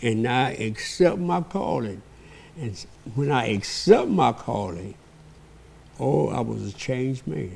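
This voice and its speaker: A man with a Southern US accent speaks very slowly at a medium pitch, pausing long and often. His pitch swings very widely. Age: 80s+. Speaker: pastor. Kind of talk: interview.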